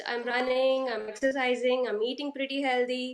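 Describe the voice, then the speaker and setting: This woman speaks with an Indian accent. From India, Karnataka (Hubballi). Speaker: stay-at-home mum, program participant. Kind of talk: interview testimony. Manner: halting, many fillers.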